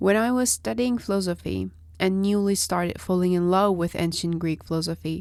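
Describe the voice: A woman's fairly low, nasal voice with vocal fry, a slightly mellow tone, fairly even intonation and a moderate pace, on a very clean recording with a silent background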